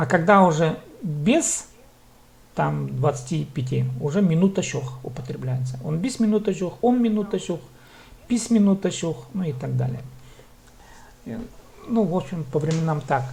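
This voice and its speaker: A man's fairly high voice has lively intonation, coming at a fairly slow pace with long, frequent pauses. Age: 30s. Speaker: language teacher. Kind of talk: online language lesson. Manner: slow, repetitive drilling.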